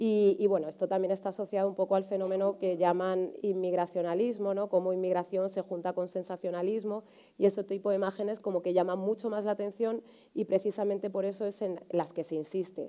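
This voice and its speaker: With monotone, flat intonation, a woman speaks at medium pitch and a fairly quick pace in a dark, mellow tone against a quiet background. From Spain, Alcorcón (south of Madrid). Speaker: journalist and writer. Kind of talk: panel discussion. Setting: conference hall with audience. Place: stage.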